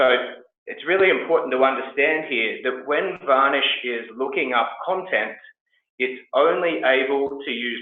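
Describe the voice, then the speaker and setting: The man talks at a fairly slow pace. Audible room echo surrounds his voice. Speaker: tech company co-founder and CEO. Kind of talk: webinar tutorial. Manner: many filler words (um, uh).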